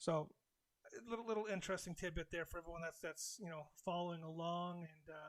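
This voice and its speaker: A man's voice with a high pitch. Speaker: crypto and side hustle channel host. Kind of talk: live stream talk. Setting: live stream at home. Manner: fast; halting, many fillers and repeats.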